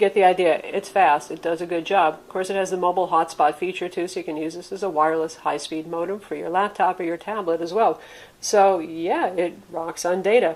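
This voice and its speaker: Speaking in an American accent, a woman with a fairly low pitch moves at a fairly quick pace in a monotone, flat intonation, her loudness swinging widely. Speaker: tech reviewer. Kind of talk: product review.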